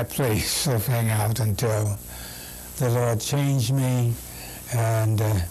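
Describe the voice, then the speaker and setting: A man's medium-pitched voice with an American accent, very slow delivery, long and frequent pauses, and audible room echo. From US Midwest, Kansas City, Missouri. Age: 80s+. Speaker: Baptist pastor. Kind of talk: oral history interview.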